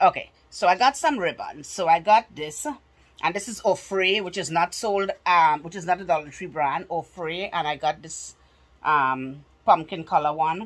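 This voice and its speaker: Speaking at a moderate pace, the woman has a fairly low pitch with ordinary variation and big swings in loudness. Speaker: haul vlogger. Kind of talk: casual vlog chat. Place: home room. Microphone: phone near.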